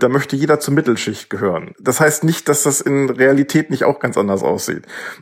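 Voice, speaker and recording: A man talks in a plain, everyday voice, fairly high in pitch. His pace is moderate. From Lower Saxony, Germany. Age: 30s. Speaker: doctoral student in ancient history. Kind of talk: interview. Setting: video call.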